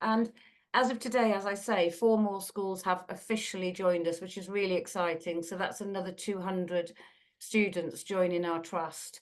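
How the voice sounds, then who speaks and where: At a moderate pace, a woman of medium pitch speaks with a British accent over a quiet background. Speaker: school trust leader. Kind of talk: presentation. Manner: animated.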